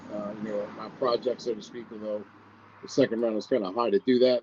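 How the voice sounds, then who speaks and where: A man's medium-pitched, fairly quick delivery in a normal speaking voice. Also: dry, close sound with no echo. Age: 60s. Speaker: sports columnist. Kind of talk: casual chat.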